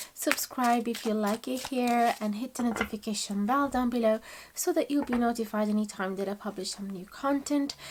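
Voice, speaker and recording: Over noticeable background noise, a woman with a non-native accent talks at a moderate pace in a fairly high voice with ordinary pitch variation. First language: not English. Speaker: tarot reader. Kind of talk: tarot reading to camera. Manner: warm, conversational.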